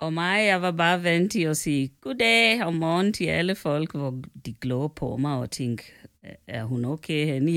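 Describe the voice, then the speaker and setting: With very wide pitch swings, a woman speaks at a fairly low pitch and a fairly slow pace in a very clean recording with a silent background. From Kenya. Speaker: host's mother. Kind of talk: casual chat. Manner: formal.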